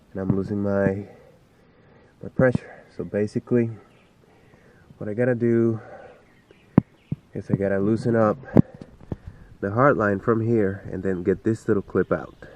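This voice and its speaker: Over noticeable background noise, a man with a fairly low pitch speaks in a flat monotone, leaving long, frequent pauses. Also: moderate pace. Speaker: home car mechanic. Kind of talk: casual DIY tutorial talk. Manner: hesitant, many fillers.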